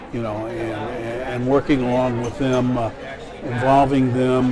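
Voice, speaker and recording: Amid crowd noise and audible room echo, a man with an American accent speaks at a fairly slow pace and medium pitch, his intonation fairly even. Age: 60s. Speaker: grants director. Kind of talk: interview. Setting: conference.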